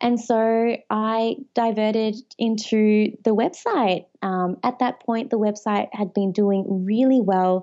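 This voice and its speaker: In an Australian accent, a woman speaks at a very slow pace with a fairly high pitch and hardly any pauses. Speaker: edtech entrepreneur. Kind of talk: casual interview chat.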